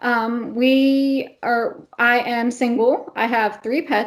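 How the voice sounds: This woman has a fairly high pitch. She speaks with an American accent.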